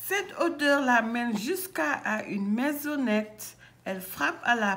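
The reading here is in an unforced reading voice.

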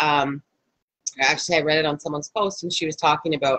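Against a quiet background, a woman speaks fairly fast. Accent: slight Canadian. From Canada. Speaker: energy healer and life coach; life coach. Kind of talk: live guided healing session. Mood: warm, gentle, conversational. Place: home room. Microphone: video call.

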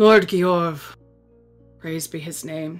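A put-on character voice moves at a fairly slow pace over faint music in the background. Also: female-sounding voice. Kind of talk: long-winded storytelling speech. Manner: pompous, condescending, self-important.

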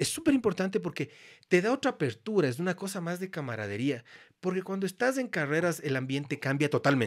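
A man with a high voice talks at a fairly quick pace. His pitch swings very widely against a quiet background. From Ecuador. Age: 50s. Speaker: photographer and former motorcycle racer; podcast guest. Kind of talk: casual chat; interview answer. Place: studio. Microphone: studio mic.

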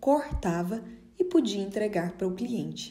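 Somewhat breathy and dark, mellow in tone, a woman speaks fairly slowly with ordinary pitch variation. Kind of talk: dramatic first-person narration of a life story, theatrical and nostalgic. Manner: slow, expressive, wistful and measured.

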